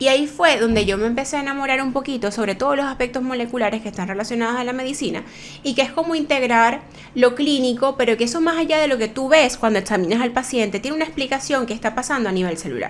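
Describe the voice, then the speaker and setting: Speech at a very fast pace with ordinary pitch variation comes through noticeable background noise. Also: woman, high pitch for a woman. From Venezuela, Maracaibo. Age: middle-aged. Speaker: aesthetic medicine doctor and podcast host. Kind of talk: casual podcast monologue.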